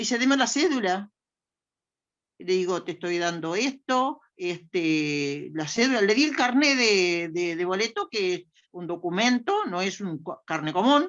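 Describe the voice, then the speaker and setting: With a Uruguayan accent, a woman speaks at a fairly slow pace. Her medium pitch moves in very wide swings. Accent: Rioplatense Spanish (Uruguayan). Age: 80s+. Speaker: older adult participant. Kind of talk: personal testimony in a panel discussion.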